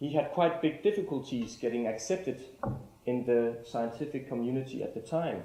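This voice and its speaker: Speaking with a Danish accent at a moderate pace, a man shows ordinary pitch variation, and audible room echo surrounds his voice. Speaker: artist-lecturer. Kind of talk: lecture. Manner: formal.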